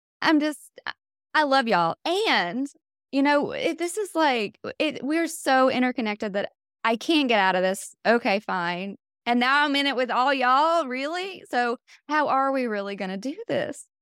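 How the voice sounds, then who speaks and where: At a moderate pace, a high-pitched woman with a North Carolina accent swings her pitch very widely, recorded very cleanly against a silent background with a dry, close sound and no echo. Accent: Southern US (North Carolina). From US South, North Carolina. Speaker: meditation teacher. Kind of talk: dharma talk.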